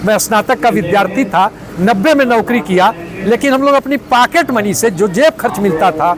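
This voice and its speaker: Over noticeable background noise, a man speaks at a high pitch. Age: 60s. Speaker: NGO founder, retired government employee. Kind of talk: interview. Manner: formal.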